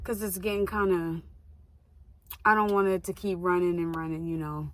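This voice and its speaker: Audible room echo surrounds a woman's fairly low voice. She speaks at a moderate pace with fairly even intonation. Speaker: vlogger, actress and model. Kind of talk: casual vlog talk. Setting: in a car.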